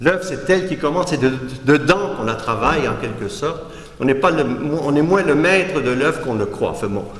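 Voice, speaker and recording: Noticeable background noise and audible room echo surround this recording. A man talks fairly quickly at a fairly high pitch. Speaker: art critic and philosopher giving a lecture. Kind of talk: lecture. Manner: halting, with false starts.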